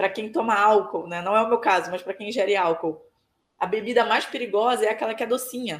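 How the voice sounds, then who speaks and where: A woman talks at a fairly quick pace in a normal speaking voice. Her pitch is fairly high, with ordinary variation. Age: 20s. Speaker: burnout survivor and social media advocate. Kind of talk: testimony interview.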